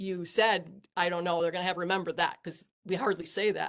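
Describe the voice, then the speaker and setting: The speaker is a woman with a medium pitch. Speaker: engineer panelist. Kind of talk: panel discussion. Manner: fast.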